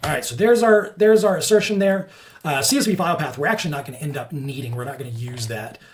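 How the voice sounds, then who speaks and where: A man at a very fast pace with very wide pitch swings, amid noticeable background noise. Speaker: software developer teaching coding. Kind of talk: coding tutorial screencast.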